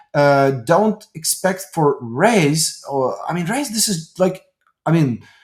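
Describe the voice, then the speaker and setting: A man with a Ukrainian accent speaks at a very slow pace. His pitch is high and his intonation lively. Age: 30s. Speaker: tech company executive. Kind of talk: interview. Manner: halting.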